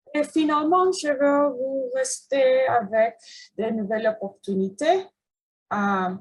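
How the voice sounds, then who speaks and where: A woman speaks at a very slow pace, somewhat breathy. Her pitch swings very widely. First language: English (speaking French). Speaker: cancer researcher. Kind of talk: research presentation. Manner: halting, many hesitations.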